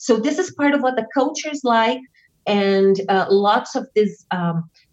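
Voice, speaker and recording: A woman with a Portuguese accent, lively intonation and a moderate pace. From southern Brazil. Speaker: witch and author. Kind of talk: interview.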